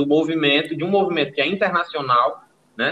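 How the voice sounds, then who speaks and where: This man has an unremarkable speaking voice pitched fairly high. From Brazilian Northeast. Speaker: podcast host. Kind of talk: casual chat.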